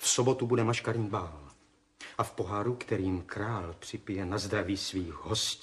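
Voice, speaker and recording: A man speaks in a normal speaking voice with a fairly low pitch. His pace is moderate and his pitch varies in an ordinary way. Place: studio.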